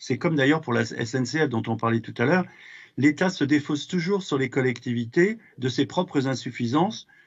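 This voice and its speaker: A man's fairly high voice carries ordinary pitch variation. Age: 60s. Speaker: regional councillor. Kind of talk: political speech in council session. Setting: regional council plenary chamber. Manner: hesitant, many fillers.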